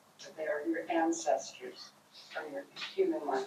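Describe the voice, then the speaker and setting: The pace of this woman's speech is moderate. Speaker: audience member. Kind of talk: comment in group discussion. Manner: loud.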